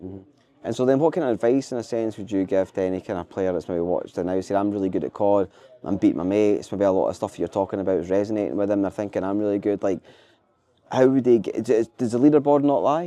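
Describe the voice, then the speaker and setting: A man with a Scottish accent speaks at a very fast pace. His voice is fairly low-pitched and dark, mellow in tone, with ordinary pitch variation. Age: 40s. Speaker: podcast host. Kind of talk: interview.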